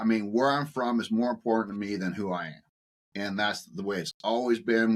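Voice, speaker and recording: Intonation holds fairly even. The words arrive very fast. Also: man. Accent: rural Ontario. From Ontario, Canada. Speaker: author and farm succession consultant. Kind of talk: interview. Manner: halting, with fillers and repetitions.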